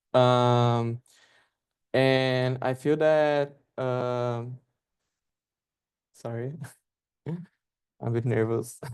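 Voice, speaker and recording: A man speaks at a very slow pace in a Portuguese accent, with long, frequent pauses. His pitch sits in the middle range, and his intonation is flat and monotone. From northeast Brazil. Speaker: artist. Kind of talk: artist talk. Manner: halting, many fillers.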